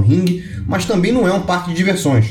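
Over noticeable background noise and audible room echo, a man with a high voice talks at a very fast pace. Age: 30s. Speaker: lawyer and venture capital investor. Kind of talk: online course lecture.

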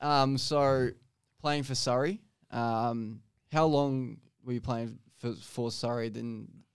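Very slowly and with fairly even intonation, a man speaks at a medium pitch with an Australian accent. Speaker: podcast host. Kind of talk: casual chat. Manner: casual, swears.

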